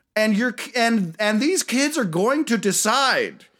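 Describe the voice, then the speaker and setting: In a very clean recording with a silent background, a man with an American accent uses a raised, projected, high-pitched voice and lively intonation. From US, West Virginia. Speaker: podcast host. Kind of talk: casual chat.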